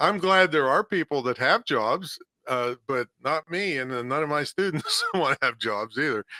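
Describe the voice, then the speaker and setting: A man with an American accent talks in a normal speaking voice at a fairly high pitch with lively intonation. The sound is dry and close, with no echo. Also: moderate pace. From western Pennsylvania, Claysville. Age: 60s. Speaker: entrepreneur and podcast host. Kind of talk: casual interview.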